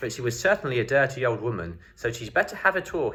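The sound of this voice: An unforced reading voice rises and falls with lively intonation.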